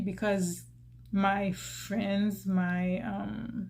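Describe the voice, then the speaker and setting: A woman's somewhat breathy, medium-pitched voice with a Haitian accent and fairly even intonation, in a room with audible echo. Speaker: YouTuber. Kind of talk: personal vlog talk. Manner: hesitant, many fillers and restarts.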